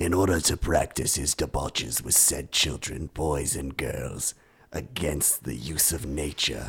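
Putting on a character voice, a man growls in a menacing, raspy tone at a very deep, low pitch and a fairly slow pace. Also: ordinary pitch variation. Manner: villainous, menacing.

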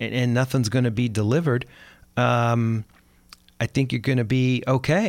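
On a very clean recording with a silent background, a man talks at a moderate pace in an ordinary speaking voice. His pitch is medium, with ordinary pitch variation. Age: 60s. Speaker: podcast host, financial advisor. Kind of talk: scripted monologue; casual chat. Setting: studio.

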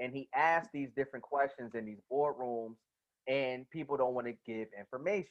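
With an American accent, a man speaks in an unremarkable speaking voice at a medium pitch, keeping a moderate pace and ordinary pitch variation. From New Jersey. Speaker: podcast host. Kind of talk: casual chat.

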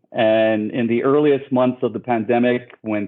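A man with an American accent speaks at a moderate pace. His pitch is medium and his intonation fairly even. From New York City, the Bronx. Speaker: electrolyte brand founder, amateur runner. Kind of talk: casual interview. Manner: hesitant with fillers and repeated words.

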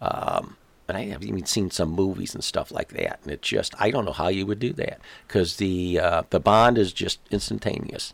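The recording is very clean, with a silent background. The speech unfolds at a moderate pace. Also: man. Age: 60s. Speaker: retiree-age father of host's friend. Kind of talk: casual interview.

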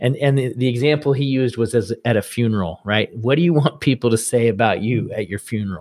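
A man speaks in a plain, everyday voice. His medium pitch carries ordinary pitch variation. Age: 40s. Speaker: father of a large family. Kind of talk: interview.

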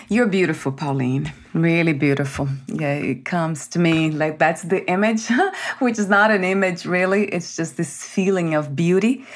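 Over noticeable background noise, a woman with a warm tone and lively intonation speaks at a fairly low pitch. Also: moderate pace. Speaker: podcast host. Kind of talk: interview. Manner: warm, effusive.

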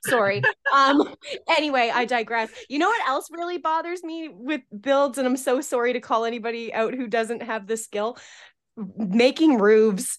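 A woman's high voice in a Canadian accent, moderate pace, ordinary pitch variation. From Atlantic Canada. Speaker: architectural drafter. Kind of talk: casual chat.

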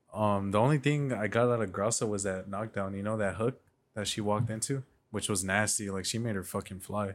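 A man with a normal speaking voice and an American accent speaks at a fairly low pitch and a fairly quick pace. His intonation is fairly even, and the recording is very clean with a silent background. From Mexican heritage, US. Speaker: podcast co-host. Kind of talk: casual chat.

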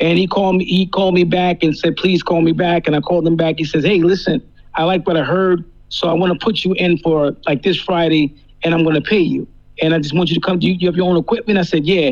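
The speaker talks at a very fast pace with a New Jersey accent. Loudness stays very even and intonation is fairly even. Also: man, high pitch for a man. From New Jersey, US. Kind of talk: casual chat, radio interview. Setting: phone or video call. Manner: relaxed, repetitive, stammering.

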